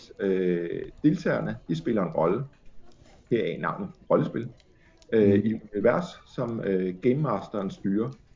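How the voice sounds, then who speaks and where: A fairly slow male voice, its pitch ranging very widely. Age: 40s. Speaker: journalist and editor. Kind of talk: casual chat. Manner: hesitant, many fillers.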